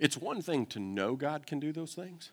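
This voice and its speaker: Here a man speaks with a Southern US accent. His pace is moderate. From Kentucky. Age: 40s. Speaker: pastor. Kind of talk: sermon.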